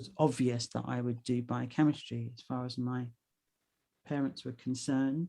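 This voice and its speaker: A woman's very deep, low voice in a London accent, dark and mellow in tone, monotone and flat, at a moderate pace with big swings in loudness. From London, England. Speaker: actor, writer and singer. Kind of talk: casual interview chat. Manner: gentle, winding.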